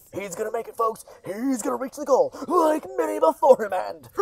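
Shouting loudly in a put-on character voice, the speaker uses a fairly high pitch at a moderate pace. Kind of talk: frantic sports commentary. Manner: manic, shouting.

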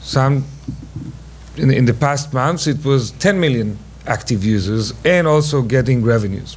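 With an Israeli accent, a man speaks at a medium pitch and a fairly slow pace. His loudness stays very even, and his pitch varies in an ordinary way. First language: Hebrew. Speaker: venture investor; panelist. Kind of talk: panel discussion. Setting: stage with audience. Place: hall. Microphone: podium.

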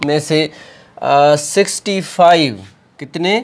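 A man talks slowly, his pitch varying in an ordinary way.

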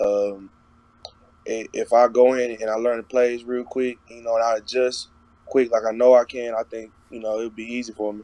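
A man with an American accent speaks at a moderate pace in a dark, mellow tone with monotone, flat intonation, and the sound is dry with no echo. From Texas. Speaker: college football player. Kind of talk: interview. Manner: casual, lots of filler. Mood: relaxed, casual. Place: home room. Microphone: video call.

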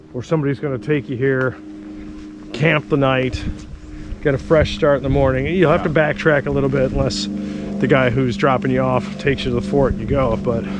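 A man talking at a fairly quick pace, dry with no echo, over noticeable background noise. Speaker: hiker vlogger. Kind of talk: casual vlog chat. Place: open country. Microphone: phone near.

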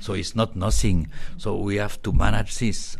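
Over noticeable background noise, a man with a very deep, low voice speaks at a fairly quick pace. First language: French. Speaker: radiology professor. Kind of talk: interview. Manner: hesitant with fillers.

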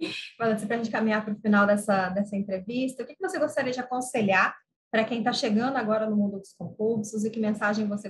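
A woman with a fairly high pitch speaks at a very fast pace, somewhat breathy. Her intonation stays fairly even over light background noise. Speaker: interviewer. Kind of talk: interview, conversational. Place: home room. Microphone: video call.

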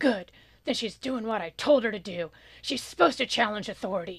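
In a put-on character voice, a female-sounding speaker uses a gruff, raised, projected delivery at medium pitch and a fairly quick pace. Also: quiet background. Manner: angry, pounding the table.

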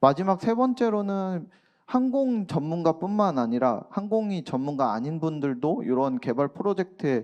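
A man's high-pitched voice at a moderate pace, very wide pitch swings, quiet background. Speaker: aerospace researcher. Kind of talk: conference presentation. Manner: halting, many fillers.

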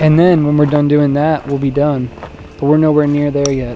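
A man speaks at a very fast pace in a monotone, flat intonation. The sound is dry with no echo, and faint music plays in the background. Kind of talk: casual vlog chat. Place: open country. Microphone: phone near.

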